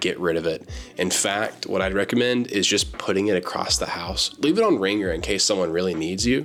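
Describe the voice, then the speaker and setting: A man's very deep, low voice at a fairly quick pace and very even loudness, with music in the background. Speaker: book YouTuber. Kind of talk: casual talk to camera.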